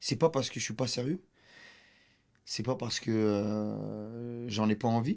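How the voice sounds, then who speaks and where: A man speaks at a very slow pace in a medium pitch, with ordinary pitch variation and long, frequent pauses. The recording is very clean, with a silent background. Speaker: comedian. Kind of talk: casual chat.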